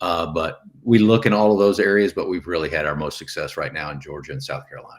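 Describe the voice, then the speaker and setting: A man's fairly low voice with a Texan accent, very fast with hardly any pauses, lively intonation and big swings in loudness. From Texas. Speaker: real estate investor, retired navy officer. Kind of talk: podcast interview.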